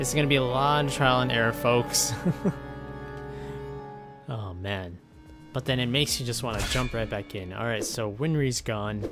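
Over clear music in the background, a man speaks at a moderate pace with long, frequent pauses. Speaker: gaming YouTuber. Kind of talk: video game commentary. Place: home room.

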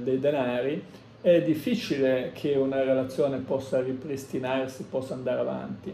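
A man keeps a moderate pace as light background noise and audible room echo come through. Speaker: tarot reader. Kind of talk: tarot reading monologue. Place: home room. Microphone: phone near.

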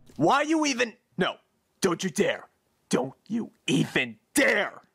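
A man puts on a character voice pitched high. He speaks at a fairly slow pace. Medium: dub. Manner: angry, shouting.

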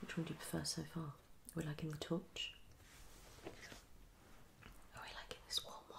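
A whispering woman goes at a fairly slow pace, with long pauses coming often. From UK. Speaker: ASMR creator. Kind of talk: ASMR video. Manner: soft-spoken. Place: home room. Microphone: phone near.

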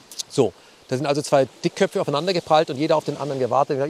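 In a dry, close sound with no echo, a man talks at a very fast pace with a fairly high pitch and fairly even intonation. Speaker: political journalist. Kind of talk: interview answer.

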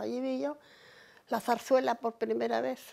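A woman with a dark, mellow tone, lively intonation and a fairly slow pace. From Cantabria, Spain. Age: 80s+. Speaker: oral history interviewee; interviewee. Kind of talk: life story interview. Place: home room.

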